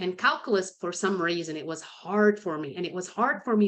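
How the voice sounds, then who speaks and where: A woman with a non-native accent speaks fairly quickly in a fairly low pitch against a quiet background. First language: not English. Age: 50s. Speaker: sales consultant and author. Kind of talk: podcast interview. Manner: conversational, with frequent repetitions.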